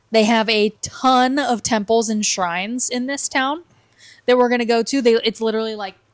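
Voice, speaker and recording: A woman's fairly high-pitched, unremarkable speaking voice at a moderate pace with fairly even intonation, on a very clean recording with a silent background. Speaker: travel vlogger. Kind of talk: casual podcast chat. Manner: casual, filler-heavy.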